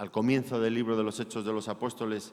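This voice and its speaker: The speaker is a man with a Spanish accent. His voice sits at a medium pitch. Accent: Spanish (Spain) accent, noticeable in Mexico. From Spain. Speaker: pastor. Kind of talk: sermon.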